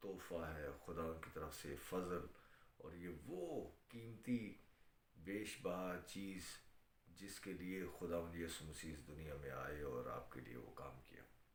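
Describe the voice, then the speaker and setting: This man has a very deep, low voice with vocal fry and ordinary pitch variation. Room echo is audible. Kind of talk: sermon on live stream. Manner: hesitant with fillers.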